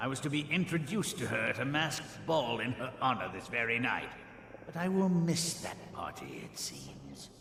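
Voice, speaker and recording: A put-on character voice with lively intonation goes at a moderate pace, with a slight echo and clear background noise. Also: man, medium pitch for a man. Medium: video game. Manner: proud, sardonic.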